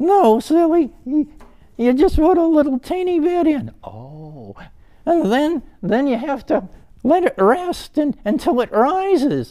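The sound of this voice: At a fairly slow pace, a man uses a put-on character voice with an extremely high pitch.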